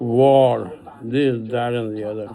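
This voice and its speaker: With audible room echo and noticeable background noise, a man of medium pitch speaks at a fairly slow pace. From Pakistan. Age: 80s+. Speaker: retired elder giving a video message. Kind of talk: personal appeal monologue. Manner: halting.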